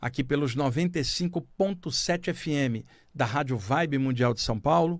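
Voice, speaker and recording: Over a silent background in a very clean recording, a man speaks at a fairly high pitch with ordinary variation. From Rio de Janeiro, Baixada Fluminense. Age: 60s. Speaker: radio host and spiritualist writer. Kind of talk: spiritual radio talk. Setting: radio studio.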